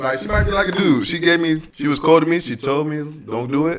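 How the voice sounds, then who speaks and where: Through noticeable background noise, a man with a fairly high pitch speaks at a very fast pace. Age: 30s. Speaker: podcast guest. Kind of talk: casual chat.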